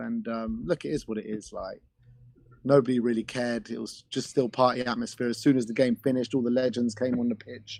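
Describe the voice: A croaky man's voice sits at medium pitch with vocal fry, a slightly husky edge and a slightly mellow tone. He moves at a fairly quick pace with fairly even intonation.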